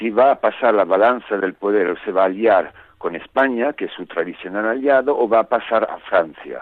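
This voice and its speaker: A man with an Italian accent talks at a moderate pace, medium in pitch with ordinary pitch variation. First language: Italian (speaking Spanish). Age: 60s. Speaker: novelist. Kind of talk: interview.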